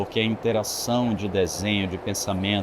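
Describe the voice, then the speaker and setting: Fairly even intonation and a moderate pace from a man's fairly low-pitched voice, set against noticeable background noise. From Bahia, Brazil (Itabuna), moved to Brasília at 17. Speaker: architect. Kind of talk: interview conversation. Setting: trade fair venue.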